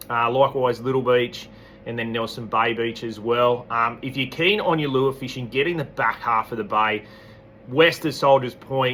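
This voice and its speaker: The speaker has an Australian accent. The pace is moderate and the pitch varies in an ordinary way. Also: man. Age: 40s. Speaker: fishing tackle shop owner. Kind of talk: weekly fishing report. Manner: casual, relaxed.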